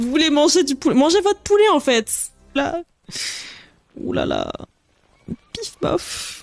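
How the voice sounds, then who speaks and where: Very slow speech with long, frequent pauses over music in the background. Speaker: streamer. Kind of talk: live stream chat. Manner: halting.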